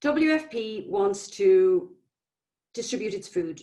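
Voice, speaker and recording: A woman with an Irish accent speaks with very wide pitch swings. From Ireland. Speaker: public health nutrition manager. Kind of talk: conference presentation.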